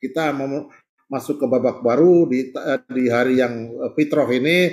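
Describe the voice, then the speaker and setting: Speaking fairly slowly, a man keeps his medium-pitched voice at fairly even intonation. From Central Java, Indonesia (Kebumen, Gombong). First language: Javanese (speaking Indonesian). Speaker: professor and study-group host. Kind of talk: online religious study session opening. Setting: Zoom video call. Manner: informal, with fillers and repetitions.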